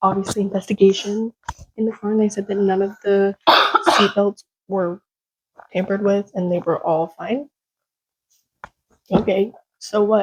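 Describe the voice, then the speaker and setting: The voice is somewhat breathy, moves at a moderate pace, and has a dry, close sound with no echo. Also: woman. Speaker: podcast host. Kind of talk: casual chat; reading aloud. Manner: halting.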